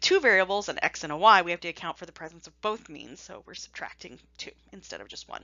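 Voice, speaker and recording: At a fairly quick pace, a woman with a normal speaking voice and medium pitch talks with big swings in loudness. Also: hardly any pauses. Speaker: statistics teacher. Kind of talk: lecture. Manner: casual, playful.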